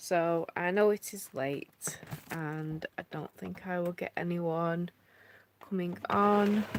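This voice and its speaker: Someone with a British accent is heard in a dry, close recording that has no echo. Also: woman. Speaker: family vlogger. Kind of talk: casual live-stream chat. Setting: live stream at home.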